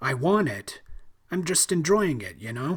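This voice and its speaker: A man puts on a raspy character voice, fairly high in pitch. It swings very widely up and down at a moderate pace. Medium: read story. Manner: awkward, giggly.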